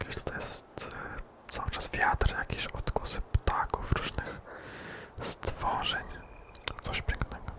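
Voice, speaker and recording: A man whispers at a very slow pace with long, frequent pauses. Noticeable background noise runs underneath. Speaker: ASMR gaming creator. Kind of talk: whispered gameplay commentary. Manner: whispered.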